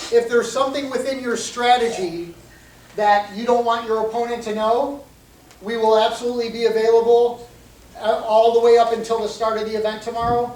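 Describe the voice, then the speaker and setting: A man talks at a fairly quick pace with an extremely high pitch and fairly even intonation. His loudness swings widely, and audible room echo fills the space. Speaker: MMA referee. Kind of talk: rules briefing. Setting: meeting room with microphone.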